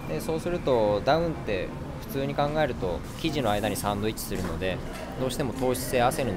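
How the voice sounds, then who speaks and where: A man speaks at a fairly quick pace over clear music in the background. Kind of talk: product explanation. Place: shop. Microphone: phone near.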